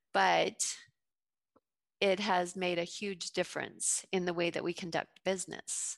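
A woman with an American accent, fairly slow and flat, monotone in intonation. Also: fairly low pitch for a woman. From US South, Georgia (Fayette County). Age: 50s. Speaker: entrepreneur, juice bar owner. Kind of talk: interview.

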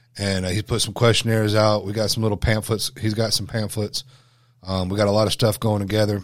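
A man's fairly low, monotone voice with flat intonation, in a very clean recording with a silent background. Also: fairly quick pace. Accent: Southern US. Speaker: podcast co-host, wilderness survival instructor. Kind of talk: casual, profane.

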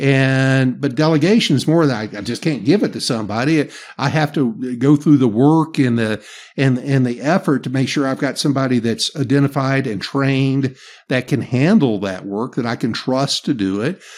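He speaks with a Southern US accent. His voice sits at a medium pitch for a man. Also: ordinary pitch variation, moderate pace, very clean recording, silent background. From US South. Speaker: leadership coach and podcaster. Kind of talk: casual interview. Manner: relaxed, folksy.

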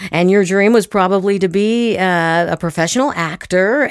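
Her pace fairly slow, a woman talks in a normal speaking voice with ordinary pitch variation. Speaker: podcast host, actor and acting teacher. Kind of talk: casual interview chat.

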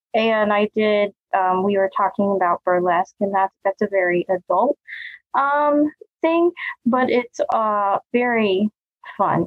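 A woman talks at a fairly slow pace with lively intonation and a medium pitch. Hers is an unremarkable speaking voice, and her loudness stays very even. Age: 30s. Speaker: dance company owner and dance teacher. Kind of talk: casual interview chat.

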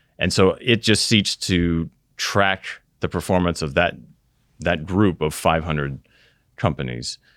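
Speaking at a moderate pace with an American accent, a man with a very deep, low pitch shows ordinary pitch variation in a very clean recording with a silent background. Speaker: retirement plan investment officer and Air Force veteran. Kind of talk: interview.

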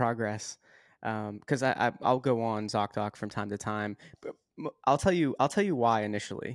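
This is a man with an ordinary speaking voice and medium pitch. His pace is moderate. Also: very clean recording, silent background. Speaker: podcast host. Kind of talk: interview.

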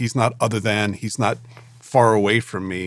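A man speaks in a plain, everyday voice, fairly low in pitch, with fairly even intonation at a moderate pace. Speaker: pastor and ministry director. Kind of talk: casual podcast conversation.

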